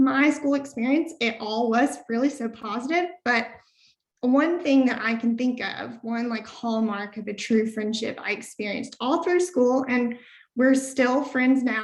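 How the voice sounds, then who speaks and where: In a Southern Appalachian accent, a woman with a high pitch speaks at a fairly slow pace with ordinary pitch variation. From US South, rural Southern Appalachia. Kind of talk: webinar presentation.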